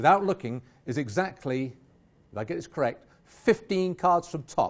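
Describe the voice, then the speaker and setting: A man with an English accent, fairly high pitch, very wide pitch swings and a moderate pace. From England. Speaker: magician. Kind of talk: live magic performance.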